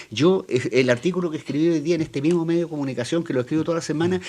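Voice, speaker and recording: A man with a Chilean accent and a high pitch, ordinary pitch variation, and noticeable background noise. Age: 60s. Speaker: political columnist panelist. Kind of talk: panel debate.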